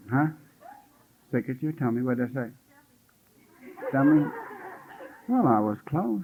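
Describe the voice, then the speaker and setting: Someone speaks with a Southern US accent, leaving long, frequent pauses. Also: man. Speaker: spiritual teacher. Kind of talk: retreat talk. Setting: retreat with live audience.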